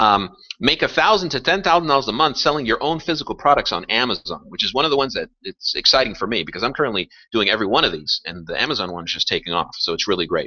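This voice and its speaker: A man's fairly high-pitched voice with vocal fry, very wide pitch swings and a very fast pace. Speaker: webinar presenter on passive income. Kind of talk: webinar presentation. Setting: live online webinar broadcast.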